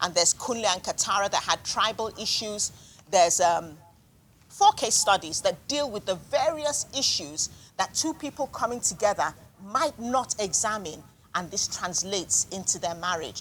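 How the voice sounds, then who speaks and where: A woman at a medium pitch with lively intonation and a moderate pace, over noticeable background noise. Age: 60s. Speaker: author and marriage counsellor. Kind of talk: book discussion interview. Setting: live event with audience.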